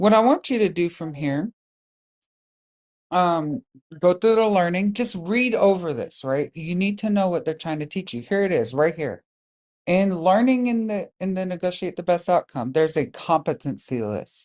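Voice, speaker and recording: A woman speaks at a moderate pace with lively intonation, her pitch fairly low. The background is quiet. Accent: American. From US South. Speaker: Toastmasters district leader and trainer. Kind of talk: online training tutorial. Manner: casual, with frequent fillers.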